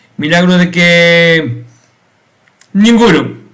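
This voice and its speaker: In a room with audible echo, a man speaks with a high pitch and ordinary pitch variation. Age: 50s. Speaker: YouTube commentator. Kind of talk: video commentary monologue. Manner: halting, many repetitions and fillers.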